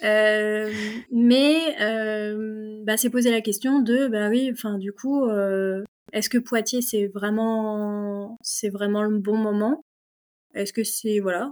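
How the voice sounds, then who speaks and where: At a very slow pace, a woman speaks at fairly high pitch. Her intonation is fairly even. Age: 30s. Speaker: mechanical engineer and property investor. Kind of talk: casual interview chat. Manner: hesitant, many fillers.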